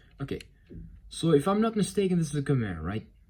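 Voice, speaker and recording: The speaker has a non-native accent and talks at a very fast pace. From outside America. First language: not English. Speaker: toy reviewer. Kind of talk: product review. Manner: halting; casual.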